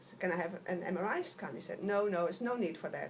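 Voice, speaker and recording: A woman speaks fairly quickly, her pitch moving in an ordinary way, with noticeable noise behind her. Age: 60s. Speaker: patient. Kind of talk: testimony. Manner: halting.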